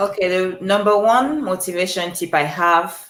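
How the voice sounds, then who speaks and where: A woman talks with a Cameroonian accent. Her pitch sits in the medium range. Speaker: life coach. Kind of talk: motivational talk.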